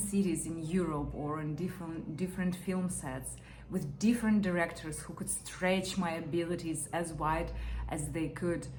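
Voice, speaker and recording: A woman with a non-native accent and a dark, mellow tone, fairly low in pitch, with vocal fry, fairly even intonation, a fairly slow pace and audible room echo. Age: 30s. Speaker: actor. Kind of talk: audition interview. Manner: hesitant, with fillers.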